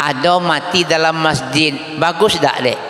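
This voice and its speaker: A man talks at a very slow pace in a fairly high pitch. Room echo is audible, and there is noticeable background noise. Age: 60s. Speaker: Islamic preacher. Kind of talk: sermon. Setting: mosque event with audience. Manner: animated, interactive with audience.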